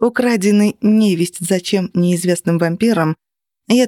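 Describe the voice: Pitch varies in an ordinary way during plain reading aloud. Behind it, things are quiet.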